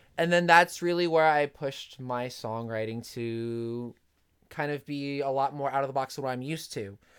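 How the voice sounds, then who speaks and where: This man has a normal speaking voice, fairly high in pitch, with ordinary pitch variation. He keeps a moderate pace on a very clean recording with a silent background. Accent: American. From New Jersey. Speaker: pop punk singer and musician. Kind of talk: casual interview.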